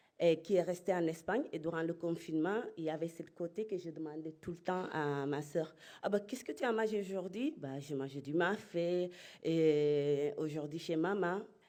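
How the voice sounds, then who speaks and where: A woman talks at a fairly low pitch, varying it in an ordinary way. The recording is very clean, and the background silent. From Spain (Murcia), Senegalese family. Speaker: entrepreneur. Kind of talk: conference talk. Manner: halting.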